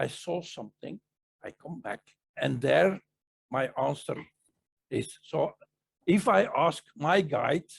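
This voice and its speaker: His pace is fairly slow. The man talks with a non-native accent. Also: dry, close sound with no echo. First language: not English. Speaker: spiritual teacher / psychic presenter. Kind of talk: casual Q&A discussion. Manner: halting, with fillers and self-corrections.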